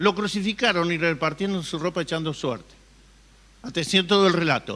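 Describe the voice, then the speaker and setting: At a moderate pace, a man speaks at a high pitch with a bright, sharp tone. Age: 60s. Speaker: pastor. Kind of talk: sermon.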